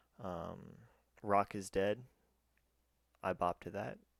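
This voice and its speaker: Quiet, fairly slow speech with ordinary pitch variation, dry and close with no echo, in a very clean recording with a silent background. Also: man. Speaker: YouTuber. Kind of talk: music review monologue. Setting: at home at night. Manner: quiet, kept down; stuttering, halting.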